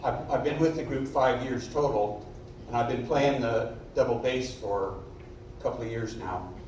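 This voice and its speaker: A man talks with ordinary pitch variation over noticeable background noise and audible room echo. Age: 70s. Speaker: amateur double bass player in community music group. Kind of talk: self-introduction at a concert.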